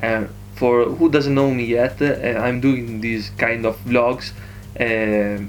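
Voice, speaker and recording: Noticeable background noise sits under a voice with an Italian accent and fairly even intonation. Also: man. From Italy. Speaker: vlogger. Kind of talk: casual vlog. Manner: halting, many fillers.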